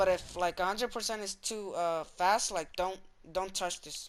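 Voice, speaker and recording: Speech unfolds at a moderate pace. The recording is very clean, and the background is silent. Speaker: gaming tutorial creator. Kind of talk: tutorial. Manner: casual, filler-heavy.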